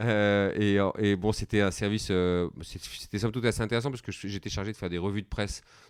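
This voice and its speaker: A man's fairly low voice, very fast pace and fairly even intonation, in a very clean recording with a silent background. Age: 40s. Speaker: company founder and CEO. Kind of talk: podcast interview. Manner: hesitant, many fillers.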